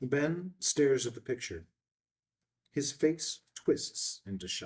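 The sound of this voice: A man speaks at a slow pace in a medium pitch with a slightly husky edge. His intonation is lively.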